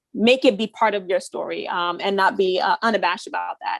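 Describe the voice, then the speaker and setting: A woman speaks fairly quickly in an unremarkable speaking voice at medium pitch, with ordinary pitch variation. The sound is dry and close with no echo. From US, Haitian family. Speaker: architect and activist. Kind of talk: panel discussion.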